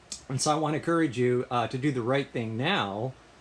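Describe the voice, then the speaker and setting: With an American accent, a man talks while noticeable background noise runs behind him. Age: 60s. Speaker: vlogger sharing health update. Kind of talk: personal video update. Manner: halting, frequent uh fillers.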